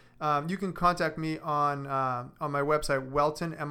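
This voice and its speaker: A man's fairly high, bright and sharp voice with an American accent, monotone and flat, on a very clean recording with a silent background. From Boston. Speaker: physical therapist. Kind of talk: radio interview. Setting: studio.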